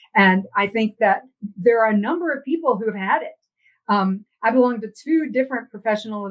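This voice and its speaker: A woman speaks with an unremarkable speaking voice. Her pitch is fairly high, with ordinary pitch variation. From Texas. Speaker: philosophy professor. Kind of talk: interview conversation.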